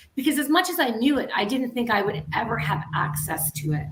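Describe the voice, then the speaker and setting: Music plays behind a woman whose fairly high voice swings very widely in pitch at a moderate pace. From Canada. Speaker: guest speaking about grief and loss. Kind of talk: casual talk show interview.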